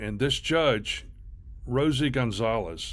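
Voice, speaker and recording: A man speaks at medium pitch with some vocal fry. His pitch varies in an ordinary way, and audible room echo surrounds him. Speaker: commentary video host. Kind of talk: reaction commentary. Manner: halting; slow, deliberate.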